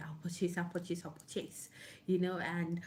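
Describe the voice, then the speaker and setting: A woman's fairly low, somewhat breathy voice with a dark, mellow tone and audible room echo. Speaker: online book club host. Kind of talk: casual talk to camera. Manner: halting.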